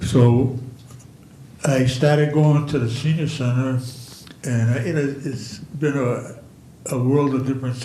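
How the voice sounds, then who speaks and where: Amid audible room echo, a man speaks at a fairly slow pace in a medium pitch with monotone, flat intonation. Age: 80s+. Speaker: senior center participant. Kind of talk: public comment at council meeting. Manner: halting, many repetitions.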